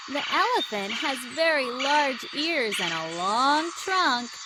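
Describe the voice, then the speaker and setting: Very slow speech over noticeable background noise. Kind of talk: children's educational app narration. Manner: slow, clear.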